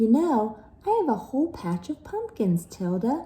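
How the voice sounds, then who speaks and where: A woman puts on a character voice at a fairly high pitch. Her pitch swings very widely at a moderate pace. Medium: read story.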